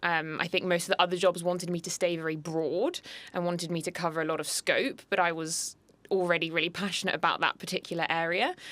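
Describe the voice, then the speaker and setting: A bright, sharp voice with a British accent speaks at a fairly quick pace with fairly even intonation. The recording is very clean, with a silent background. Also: woman. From London, England. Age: 20s. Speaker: equine vet. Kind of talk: interview.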